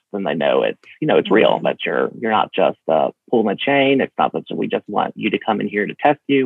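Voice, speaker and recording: A man with an Alabama accent talks at a very fast pace. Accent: US Southern (Alabama). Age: 30s. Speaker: HIV prevention director and state legislator. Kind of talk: interview. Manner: halting, with many fillers.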